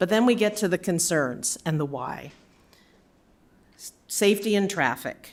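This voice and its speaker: Speaking fairly slowly with long, frequent pauses, a woman uses a medium pitch and lively intonation while her loudness rises and falls sharply. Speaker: appellant resident speaking at council. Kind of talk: public comment at council meeting. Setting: city council chamber.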